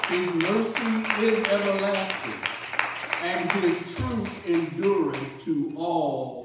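A man speaks at a very slow pace amid audible room echo and crowd noise in the background. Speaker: pastor leading worship. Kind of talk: worship call and welcome. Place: church.

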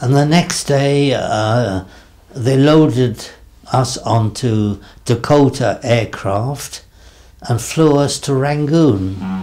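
With an English accent, a man speaks at a very slow pace in a dark, mellow tone, his pitch varying in an ordinary way. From England. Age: 80s+. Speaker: war veteran, former army dentist. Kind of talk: interview answer. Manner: slow, hesitant. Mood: reflective, calm memory. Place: home room.

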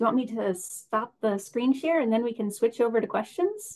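The speaker is a woman. She talks at a fairly high pitch. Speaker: event moderator. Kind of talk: moderated Q&A. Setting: video call. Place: home room. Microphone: webcam.

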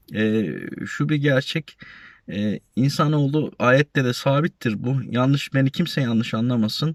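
A man's medium-pitched voice at a fairly slow pace with ordinary pitch variation, in a very clean, dry, close recording with a silent background and no echo. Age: 40s. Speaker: YouTuber, retiree, warehouse supervisor. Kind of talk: casual vlog talk. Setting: outdoors at a university campus. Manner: halting, many fillers.

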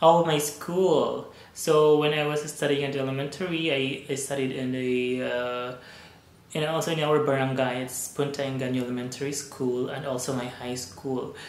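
The speaker has a Visayan Filipino accent and keeps a moderate pace. Noticeable background noise sits behind the voice. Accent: Filipino (Cebuano) English. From Philippines, Cebu. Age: 30s. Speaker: vlogger. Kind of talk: casual vlog monologue. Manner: hesitant, many fillers.

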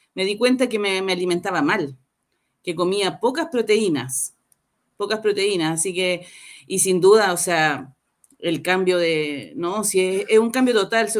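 A woman's lively, varied intonation at a fairly slow pace over a quiet background. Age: 50s. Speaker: program participant giving testimonial; guest. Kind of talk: testimony. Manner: halting. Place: home room.

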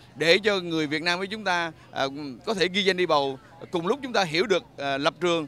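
Here a man speaks in a high pitch. His pace is fairly quick and his pitch variation ordinary. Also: dry sound with no echo. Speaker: news reporter. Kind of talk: news report stand-up. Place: street. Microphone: handheld.

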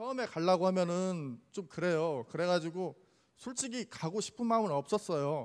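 The background is quiet. A man speaks with a high pitch and lively intonation. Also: moderate pace. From Jeonju, South Korea; South Korea. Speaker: church deacon giving testimony. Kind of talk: testimony. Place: church. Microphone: handheld.

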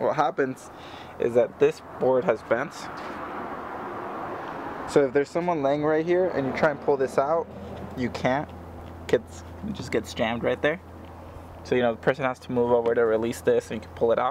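Moderate pace with long, frequent pauses and ordinary pitch variation, dry sound with no echo, and noticeable background noise. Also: man. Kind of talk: casual tutorial walkthrough. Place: street. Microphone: phone near.

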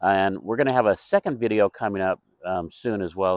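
The background is quiet as a man speaks at a moderate pace. His sound is dry, with no echo. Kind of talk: walkthrough tour commentary. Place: garden.

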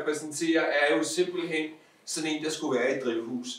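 A man keeps his intonation fairly even while his voice echoes audibly around the room. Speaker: guest. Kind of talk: casual chat. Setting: stage with audience. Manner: halting. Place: home room. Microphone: camera far.

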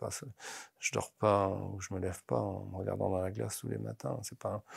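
A man with a very deep, low pitch speaks over a quiet background. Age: 50s. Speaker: football coach. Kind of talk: interview. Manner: halting, many repetitions. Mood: calm, passionate, reflective. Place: studio. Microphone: lapel.

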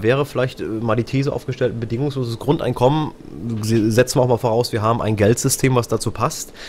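Over noticeable background noise, a man talks at a fairly quick pace with a medium pitch and fairly even intonation. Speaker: radio host. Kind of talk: live radio talk show moderation. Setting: live stream and radio broadcast.

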